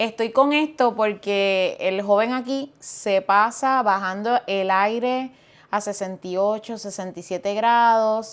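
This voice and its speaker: Over a silent background in a very clean recording, a woman speaks very slowly in a Puerto Rican accent, her fairly high pitch showing ordinary variation. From eastern Puerto Rico (Fajardo). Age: 40s. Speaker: pastor. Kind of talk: casual chat.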